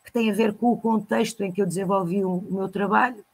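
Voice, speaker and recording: A woman talks at a moderate pace in a somewhat breathy voice with monotone, flat intonation. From Lagos, Portugal. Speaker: storyteller and librarian. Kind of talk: interview answer.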